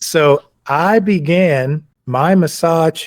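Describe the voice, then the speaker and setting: The man's fairly high voice shows ordinary pitch variation, captured in a very clean recording with a silent background and a dry, close sound with no echo. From US South. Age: 70s. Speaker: massage therapist and athletic trainer. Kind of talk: podcast interview.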